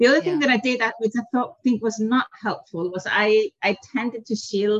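A woman speaks at a moderate pace with a fairly high pitch and ordinary pitch variation. Her somewhat breathy voice sounds dry and close, with no echo. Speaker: business executive. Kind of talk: interview. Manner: hesitant, many fillers.

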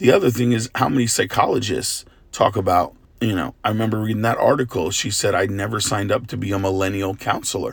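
A man's fairly low, somewhat breathy voice at a very fast pace, with ordinary pitch variation. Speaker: pastor. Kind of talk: devotional talk.

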